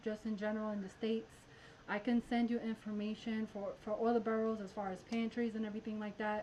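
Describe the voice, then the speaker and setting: With noticeable background noise behind her, a woman uses a fairly high pitch and monotone, flat intonation. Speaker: math teacher and channel host. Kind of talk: live stream math tutorial. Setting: live stream. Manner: fast; casual, chatty.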